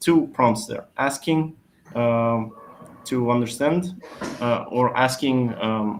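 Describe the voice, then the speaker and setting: A man with a Polish accent and a medium pitch. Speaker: SEO expert. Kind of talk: webinar Q&A answer. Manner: hesitant with fillers.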